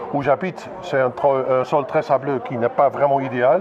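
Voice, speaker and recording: Moderate-paced male speech against noticeable background noise. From Belgium, northern Limburg province. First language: Dutch (speaking French). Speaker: winegrower. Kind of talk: casual interview at event.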